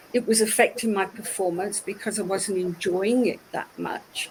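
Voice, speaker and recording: The speaker is a woman. She talks in a British accent. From United Kingdom. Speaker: ceramicist, former IT executive. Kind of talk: interview.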